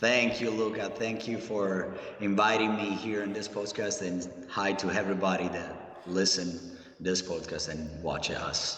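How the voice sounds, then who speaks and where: A fairly low-pitched male voice with an Italian accent, fairly even intonation and a fairly slow pace, amid audible room echo and noticeable background noise. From Italy, Rome. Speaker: professional wrestler. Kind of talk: interview.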